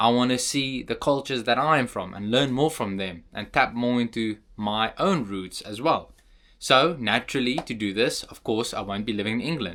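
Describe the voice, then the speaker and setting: On a very clean recording with a silent background, a man with a South African accent speaks at a medium pitch and moderate pace, his tone bright and sharp with ordinary pitch variation. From South Africa, Cape Town. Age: young. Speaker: vlogger. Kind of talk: casual vlog monologue.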